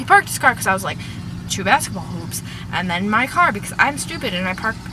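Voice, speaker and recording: A woman talks at a very fast pace with noticeable background noise behind her. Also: big swings in loudness. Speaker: fangirl vlogger. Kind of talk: casual talk to camera. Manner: rambling.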